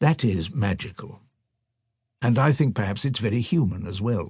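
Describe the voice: Over a silent background in a very clean recording, the voice moves at a moderate pace with a slightly mellow tone, a slightly husky edge and lively intonation. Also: man, fairly low pitch for a man.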